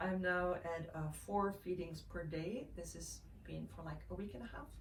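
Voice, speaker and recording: In a Dutch accent, a woman speaks at a moderate pace. Audible room echo and noticeable background noise fill the recording. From Netherlands, Amsterdam. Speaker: mother sharing breastfeeding tips. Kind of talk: casual vlog talk. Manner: halting, many fillers.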